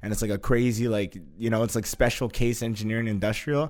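An ordinary speaking voice moves at a fairly quick pace. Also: man. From Canada. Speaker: life coach. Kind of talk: casual chat.

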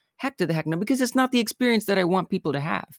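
A woman with an American accent speaks with vocal fry and very wide pitch swings, the sound dry and close with no echo. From Southern Illinois / St. Louis area. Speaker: game creator and streamer. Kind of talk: casual chat.

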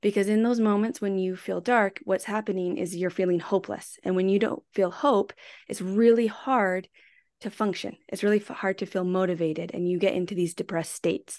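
Against a quiet background, a woman with a plain, everyday voice talks at a fairly quick pace, medium in pitch with ordinary variation. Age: 40s. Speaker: podcast co-host. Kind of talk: casual chat.

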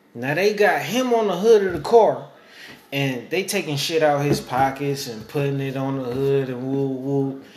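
A man's fairly high, lively voice at a moderate pace, with noticeable background noise and audible room echo. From East Oakland, California. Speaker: podcast host. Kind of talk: casual chat.

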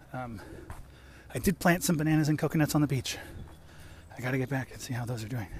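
This man speaks very fast at a medium pitch, somewhat breathy, with ordinary pitch variation. His loudness swings widely, and he leaves long, frequent pauses. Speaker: improv performer. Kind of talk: voice memo monologue. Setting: walking outdoors. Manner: casual, filler-heavy.

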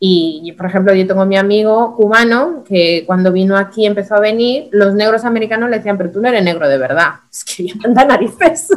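A woman with a plain, everyday voice talks at a fairly quick pace with hardly any pauses, keeping a medium pitch and ordinary pitch variation. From Spain. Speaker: interview guest. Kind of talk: casual interview conversation.

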